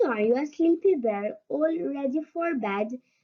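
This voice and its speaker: In a put-on character voice, a woman speaks gruffly at a moderate pace, her high pitch swinging very widely. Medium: read story.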